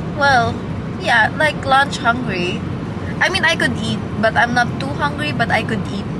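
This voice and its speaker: Loud background noise sits under the speech. The pace is fairly slow and the sound dry with no echo. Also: woman. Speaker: vlogger. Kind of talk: casual vlog chat. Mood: playful, laughing. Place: car. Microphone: phone near.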